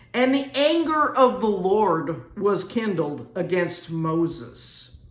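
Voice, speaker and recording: Over noticeable background noise, a woman with an American accent speaks very slowly, her pitch swinging very widely. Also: medium pitch for a woman. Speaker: Bible teacher. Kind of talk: sermon. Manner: casual, conversational.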